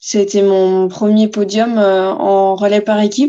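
A woman's dark, mellow voice, monotone and flat, at a very slow pace. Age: 20s. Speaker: inline speed skater. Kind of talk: interview. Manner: hesitant, many fillers.

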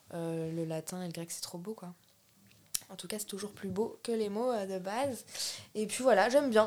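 With long, frequent pauses and big swings in loudness, a woman speaks at a moderate pace and a medium pitch, with ordinary pitch variation. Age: 20s. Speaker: painter and art student. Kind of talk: casual interview chat. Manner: casual and hesitant, many fillers.

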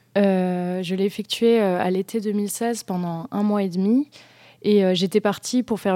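A woman's medium-pitched, dark, mellow voice at a moderate pace with fairly even intonation, on a very clean recording with a silent background. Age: 20s. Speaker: history student and musician. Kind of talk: radio interview. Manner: halting.

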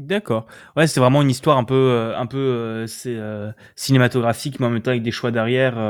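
Fairly quick, medium-pitched male speech in an ordinary speaking voice, with fairly even intonation on a very clean recording against a silent background. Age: young. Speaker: podcast host, student. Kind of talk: casual chat.

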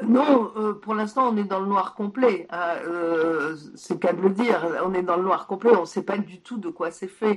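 Background noise is noticeable as someone talks fairly slowly with ordinary pitch variation. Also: woman, medium pitch for a woman. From Poland, moved to France at 6. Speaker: science journalist and author. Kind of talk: interview. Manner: halting.

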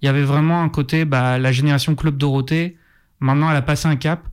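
A man with a plain, everyday voice speaks at a fairly quick pace in a fairly high pitch with fairly even intonation. The recording is very clean, with a silent background. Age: 30s. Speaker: film journalist. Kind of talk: casual chat. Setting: studio.

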